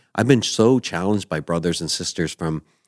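A man with a Canadian accent has an ordinary speaking voice with ordinary pitch variation at a moderate pace. The very clean recording has a silent background and a dry, close sound with no echo. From New Brunswick, Canada. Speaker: lead pastor. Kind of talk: casual interview chat.

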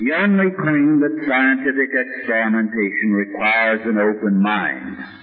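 A man's moderately paced, lively sounding speech amid noticeable background noise. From US (Armenian-American background). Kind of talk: lecture with Q&A.

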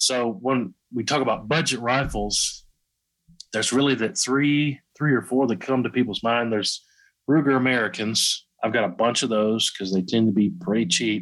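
With a Southern US accent, a man speaks at a moderate pace in a medium pitch with ordinary pitch variation. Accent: Southern US, country. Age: 30s. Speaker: YouTube gun channel creator. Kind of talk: casual interview chat.

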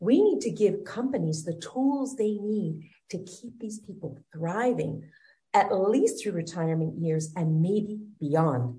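Somewhat breathy and dark, mellow in tone, a woman speaks very slowly with lively intonation and big swings in loudness. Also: medium pitch for a woman. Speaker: wellness coach. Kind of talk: interview.

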